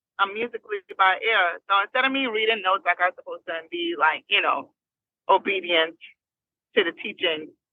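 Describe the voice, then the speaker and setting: With an American accent, a woman speaks at a fairly quick pace and medium pitch, with ordinary pitch variation. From New Jersey, Trinidad and California. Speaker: singer. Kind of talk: interview. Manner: animated.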